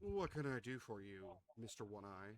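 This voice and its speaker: Using a put-on character voice, a man speaks fairly low at a moderate pace with ordinary pitch variation. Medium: actual play.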